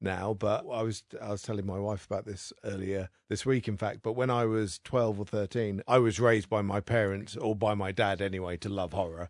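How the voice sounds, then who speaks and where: There is a plain, everyday voice from a man with a fairly low pitch, talking at a fairly quick pace against a quiet background. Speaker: guest storyteller. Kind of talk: casual chat.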